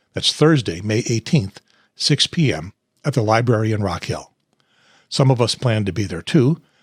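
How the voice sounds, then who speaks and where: A somewhat breathy man at a medium pitch, lively in intonation, at a moderate pace with long, frequent pauses, in a dry, close sound with no echo. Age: 70s. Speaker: political party podcast host. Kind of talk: casual chat and scripted outro. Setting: home studio.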